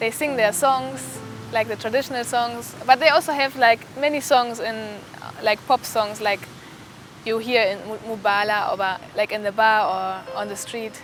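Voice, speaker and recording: A woman with a German accent speaks at a moderate pace in a fairly high voice. Her intonation is lively, and there is noticeable background noise. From Germany. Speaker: medical student. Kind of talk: interview testimony. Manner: halting, with false starts.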